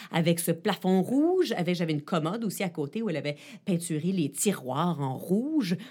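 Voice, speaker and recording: Somewhat breathy speech at a moderate pace swings very widely in pitch on a very clean recording with a silent background. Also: woman. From Ottawa and Quebec, Canada. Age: 40s. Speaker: journalist and tech columnist. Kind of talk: interview.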